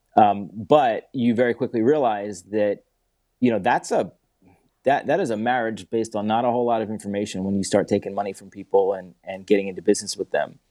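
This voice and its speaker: A man with an American accent talks at a fairly quick pace with fairly even intonation. His fairly low pitch carries a dark, mellow tone. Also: quiet background. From Philadelphia, US Northeast. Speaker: entrepreneur. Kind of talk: interview.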